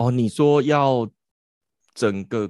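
On a very clean recording with a silent background and a dry, close sound with no echo, a man speaks at a medium pitch with ordinary pitch variation. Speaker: podcast host. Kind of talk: casual chat.

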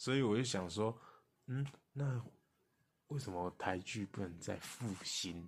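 On a very clean recording with a silent background, a man speaks fairly slowly at a fairly low pitch, with ordinary pitch variation and long, frequent pauses. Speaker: podcast co-host. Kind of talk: casual chat.

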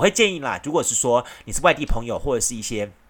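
A man's fairly high voice at a fairly quick pace, with very wide pitch swings, on a very clean recording over a silent background. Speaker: radio host. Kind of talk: solo radio talk. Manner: casual, chatty with frequent fillers.

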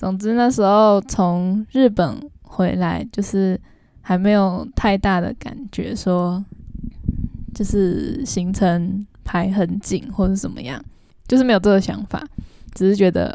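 Speaking at a fairly slow pace in a Taiwanese accent, a woman has a dark, mellow tone, medium pitch and ordinary pitch variation. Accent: Taiwanese Mandarin. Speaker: travel podcast co-host and travel blogger. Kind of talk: casual chat.

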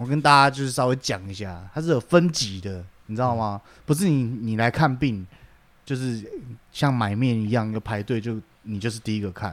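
In a very clean recording with a silent background, a man with a Taiwanese accent speaks with big swings in loudness. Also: medium pitch for a man, ordinary pitch variation, moderate pace. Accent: Taiwanese Mandarin. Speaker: podcast co-host. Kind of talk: casual chat.

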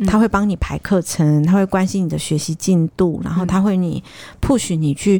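A woman's dark, mellow voice at medium pitch. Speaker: podcast co-host. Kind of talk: casual chat.

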